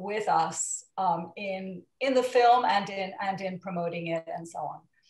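Over a quiet background with audible room echo, a woman speaks at a medium pitch, somewhat breathy and with fairly even intonation. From Portugal. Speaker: film producer and attorney; attorney. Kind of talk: interview. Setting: video call. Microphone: video call.

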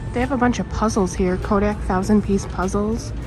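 A woman talks at a moderate tempo with clear music audible behind her. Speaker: shopping vlogger. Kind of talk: casual vlog chat. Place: shop. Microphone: phone near.

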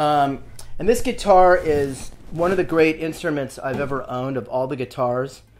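Over light background noise, a man with an American accent talks at a moderate pace, his fairly high voice showing ordinary pitch variation. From Malibu, California. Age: 60s. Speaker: artist, surfer, wine broker. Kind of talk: interview answer. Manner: casual, rambling. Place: home room.

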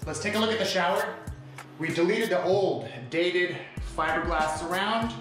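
Audible room echo and clear background music surround a man speaking at a high pitch with ordinary pitch variation. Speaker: tile contractor. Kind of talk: tutorial walkthrough. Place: bathroom. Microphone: phone near.

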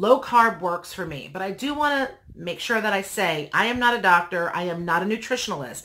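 A woman speaks at a moderate pace in a bright, sharp tone with lively intonation. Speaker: vlogger. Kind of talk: casual vlog chat. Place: home room.

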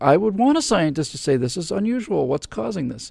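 A man at a moderate pace, against a quiet background, with a dry sound and no echo. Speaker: show host answering questions. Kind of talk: commentary. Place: studio. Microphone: studio mic.

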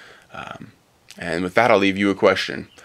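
The man has a very deep, low pitch, a bright, sharp tone and vocal fry. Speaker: science hobbyist video maker. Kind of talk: monologue explainer video. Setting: at home. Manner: halting; quiet.

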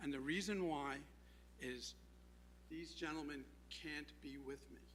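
A man speaks at a fairly slow pace, and there is audible echo in the room. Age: 70s. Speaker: public commenter at town meeting. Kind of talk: public comment speech. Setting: town council meeting room.

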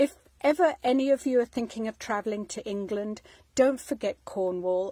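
Against a quiet background, a woman speaks with a dark, mellow tone, lively intonation, and a dry sound with no echo. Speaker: home vlogger. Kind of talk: casual vlog chat. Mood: warm, nostalgic. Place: home room. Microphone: phone near.

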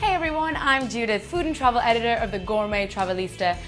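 Against faint background music, a woman with a fairly high pitch talks at a fairly quick pace, her pitch swinging very widely. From England. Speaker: food and travel presenter; TV host. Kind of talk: TV presenting. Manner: animated. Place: studio.

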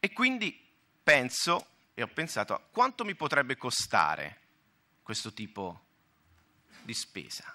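Speaking in a Tuscan accent at a fairly slow pace, a man leaves long, frequent pauses and his loudness swings widely. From Tuscany, Italy. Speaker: health fund manager / conference speaker; conference panelist. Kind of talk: conference talk. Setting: conference hall with audience. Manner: halting, with self-corrections. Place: hall. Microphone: podium.

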